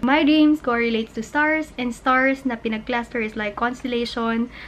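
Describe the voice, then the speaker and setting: Moderate-paced speech from a woman with a fairly high pitch, over noticeable background noise. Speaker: lifestyle vlogger. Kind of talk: casual vlog. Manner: animated.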